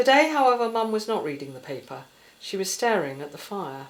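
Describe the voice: A woman talks at a fairly quick pace with big pitch swings around a medium pitch, and the room echo is audible.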